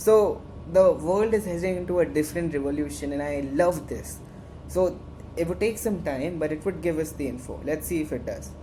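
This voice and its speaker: A woman speaks with a very deep, low pitch and an Indian accent. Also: ordinary pitch variation, moderate pace. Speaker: student tech club instructor. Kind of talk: tutorial. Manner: halting; animated.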